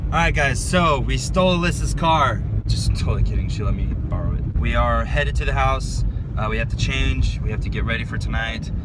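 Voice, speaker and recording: Amid loud background noise, a man talks at a fairly quick pace, and the sound is dry with no echo. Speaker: vlogger. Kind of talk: casual vlog chat. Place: car. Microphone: phone near.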